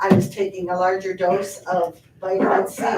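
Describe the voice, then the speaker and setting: A woman's voice at medium pitch and moderate pace. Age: 60s. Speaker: public commenter at county board meeting. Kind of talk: public comment at a meeting. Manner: earnest, hesitant with fillers.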